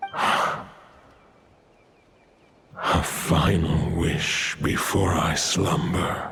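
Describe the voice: Doing a put-on character voice, a man speaks very slowly in a low pitch with a fairly bright tone, vocal fry and little pitch movement.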